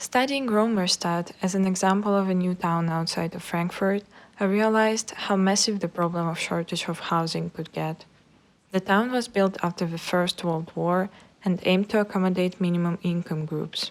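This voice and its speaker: A woman speaks at a moderate pace in a medium pitch, her intonation fairly even. The recording is very clean, with a silent background. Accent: Russian. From Russia. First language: Russian. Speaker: architecture student. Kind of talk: scripted narration.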